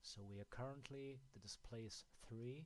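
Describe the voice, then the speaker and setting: With a German accent, a man speaks at a fairly slow pace. His pitch variation is ordinary. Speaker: app developer. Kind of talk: software tutorial. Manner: halting, with many fillers.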